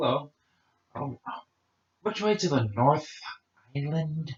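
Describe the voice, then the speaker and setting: A man puts on a character voice, speaking fairly slowly at a fairly high pitch. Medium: actual play.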